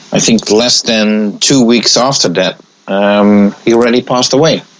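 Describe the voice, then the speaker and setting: There is noticeable background noise as a man talks in a fairly low pitch. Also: very even loudness. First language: not English. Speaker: pinball magazine editor. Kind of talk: casual chat. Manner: halting.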